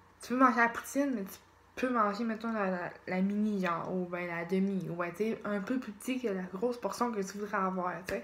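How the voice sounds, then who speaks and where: In a Quebec accent, a woman speaks at a moderate pace and medium pitch with ordinary pitch variation. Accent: Québécois French. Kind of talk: casual vlog talk to camera. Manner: hesitant, searching for words.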